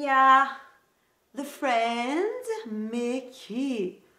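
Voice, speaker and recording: Her tone is bright and sharp, and this woman's pitch swings very widely. Audible room echo fills the recording. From Greece. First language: Greek (speaking French). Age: 20s. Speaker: lifestyle youtuber. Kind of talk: casual haul video chat. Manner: hesitant, many fillers.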